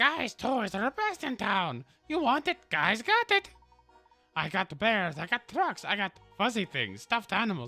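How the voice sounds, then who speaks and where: Faint music plays behind a man who puts on a high-pitched character voice at a moderate pace. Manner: pitching toys, salesman-like.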